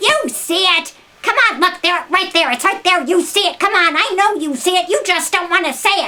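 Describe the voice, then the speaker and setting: In a put-on character voice, a woman talks at a moderate speed with an extremely high pitch. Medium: read story. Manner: coaxing, sly.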